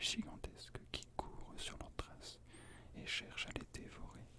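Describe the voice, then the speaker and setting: Very slowly, a man whispers. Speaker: ASMR creator. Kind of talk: book reading of mythology. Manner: whispered.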